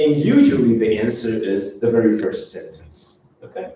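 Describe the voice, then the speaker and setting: Male speech with noticeable echo from the room. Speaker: university lecturer. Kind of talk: lecture. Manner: slow.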